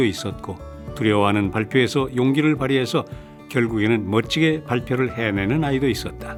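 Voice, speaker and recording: With music in the background, a man's pitch varies in an ordinary way as he talks. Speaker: voice actor. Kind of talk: audiobook reading.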